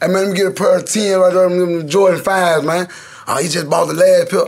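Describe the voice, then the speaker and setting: A man with an American accent and a high pitch, fairly quick in pace, fairly even in intonation, over noticeable background noise. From US South, Memphis. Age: 30s. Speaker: rapper. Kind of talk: casual interview chat.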